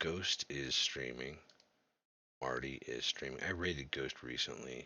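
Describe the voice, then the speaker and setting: Very deep and low, a man's voice carries vocal fry at a fairly slow pace. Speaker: video game streamer. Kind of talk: casual live stream chat. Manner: slurred speech.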